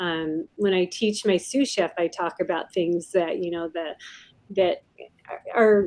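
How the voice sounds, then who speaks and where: A woman talks in a normal speaking voice with an American accent. Her pitch is medium with ordinary variation, and her pace is fairly slow. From US Pacific Northwest, Puyallup, Washington. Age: 60s. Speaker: pilot and restaurant chef. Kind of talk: interview.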